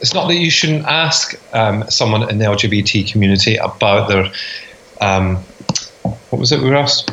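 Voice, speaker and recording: Over noticeable background noise, a man with a Scottish accent and fairly low pitch talks with lively intonation and very even loudness, leaving long, frequent pauses. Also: moderate pace. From Scotland, rural Fife. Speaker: podcast co-host. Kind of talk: casual chat.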